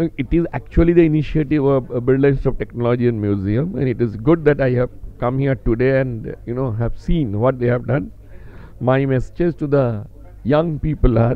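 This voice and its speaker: With ordinary pitch variation, the man speaks at a fairly quick pace. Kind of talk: interview answer. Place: hall. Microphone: handheld.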